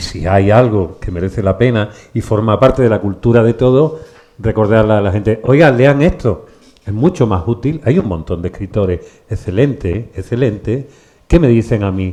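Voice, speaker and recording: In an ordinary speaking voice, a man speaks at a moderate pace with fairly low pitch and ordinary pitch variation. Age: 60s. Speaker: bookshop event host, interviewer. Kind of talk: public conversation with author.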